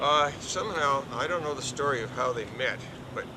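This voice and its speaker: A man talks fairly quickly, with audible room echo and clear background noise throughout. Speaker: interviewee recounting family history. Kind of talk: oral history interview. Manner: halting.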